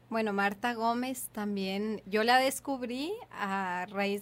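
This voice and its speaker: A very slow, fairly high-pitched woman's voice with fairly even intonation. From another Latin American country. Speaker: doula. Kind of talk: casual chat. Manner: halting, repeats words.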